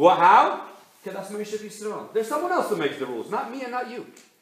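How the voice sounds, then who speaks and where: Speaking fairly quickly, a man has an American accent. Noticeable background noise runs underneath. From Milan, Italy, then New York. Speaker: rabbi, community speaker. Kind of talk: speech to an audience. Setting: stage with live audience.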